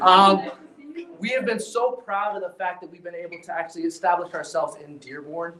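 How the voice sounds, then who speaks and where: At a fairly quick pace, a man with a high pitch and ordinary pitch variation speaks with big swings in loudness over noticeable background noise. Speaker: healthcare company executive. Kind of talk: ceremony speech. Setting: live event with audience, no microphone. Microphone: speaking without a mic.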